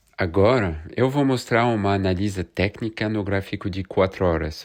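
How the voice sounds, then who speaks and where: Speaking at a fairly slow pace, a man with a French accent is heard against a quiet background. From France. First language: French (speaking Portuguese). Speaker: crypto market analyst youtuber. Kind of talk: market analysis video. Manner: casual, conversational.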